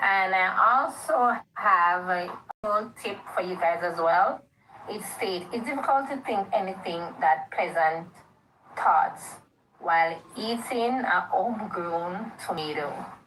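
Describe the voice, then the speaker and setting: Audible room echo surrounds a woman speaking fairly slowly at medium pitch with ordinary pitch variation. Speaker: livestreamer. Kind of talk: casual live stream chat. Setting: live stream.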